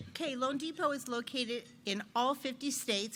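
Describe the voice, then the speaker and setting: A woman speaks loudly at a fairly slow pace. Her tone is bright and sharp. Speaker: loan officer. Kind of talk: business presentation.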